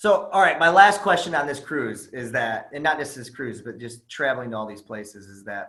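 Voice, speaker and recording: At a moderate pace, the voice makes very wide pitch swings. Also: man. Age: 30s. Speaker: podcast host. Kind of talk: casual interview chat. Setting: video call.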